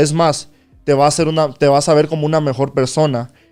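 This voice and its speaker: Over music in the background, a man with a Spanish accent talks at a fairly high pitch and a fairly quick pace. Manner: casual, code-switching with halting pauses.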